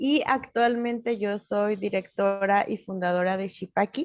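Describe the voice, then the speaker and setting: Ordinary pitch variation marks speech delivered at a fairly slow pace. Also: woman. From Mexico, Hidalgo (Nahua community). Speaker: psychologist and social initiative founder. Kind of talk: interview.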